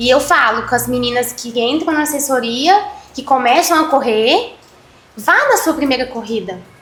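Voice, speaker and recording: Over noticeable background noise and audible room echo, a woman speaks at a moderate pace in a high pitch with lively intonation. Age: 20s. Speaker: amateur runner and entrepreneur. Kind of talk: casual chat.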